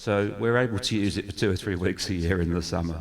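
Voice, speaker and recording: On a very clean recording with a silent background, a man with an English accent speaks at a moderate pace in a very deep, low pitch. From England, Newmarket near Cambridge. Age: 50s. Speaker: church community worker. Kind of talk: testimony.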